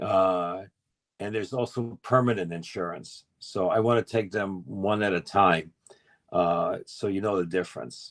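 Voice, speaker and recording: A man in a New York accent speaks with a fairly low pitch and ordinary pitch variation. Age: 60s. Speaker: insurance expert. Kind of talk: educational talk on group call. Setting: group call.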